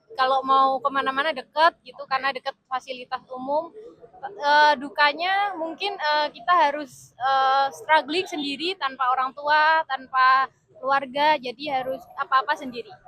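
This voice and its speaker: A woman speaks in a raised, projected voice with a bright, sharp tone at high pitch and ordinary pitch variation. Her pace is moderate, and the sound is dry and close with no echo. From Indonesia, Yogyakarta (Bantul). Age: 20s. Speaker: government consultant. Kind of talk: street interview. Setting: outdoors near a train station. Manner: hesitant, many fillers; composed, authoritative.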